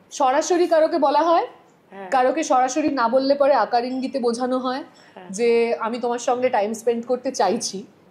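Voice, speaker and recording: This woman talks in a high pitch with ordinary pitch variation. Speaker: sports anchor and FM radio host. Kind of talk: casual podcast interview conversation.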